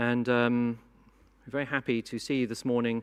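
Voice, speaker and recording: A man with a British accent speaks in a very clean recording with a silent background. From Britain. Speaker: conference moderator. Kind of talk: conference opening speech. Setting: conference hall with audience.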